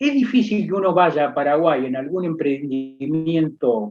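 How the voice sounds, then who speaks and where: A man speaks at a moderate pace. His fairly high voice has lively intonation. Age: 60s. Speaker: accountant and professor. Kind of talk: interview. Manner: halting, many fillers and repetitions.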